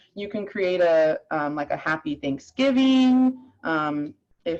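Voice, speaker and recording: The speaker is a woman. Her pitch is fairly low. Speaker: real estate software trainer. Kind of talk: tutorial. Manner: casual, many fillers.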